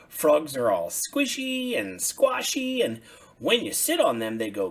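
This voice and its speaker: A man's put-on character voice, raised and projected, at a fairly slow pace. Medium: read story.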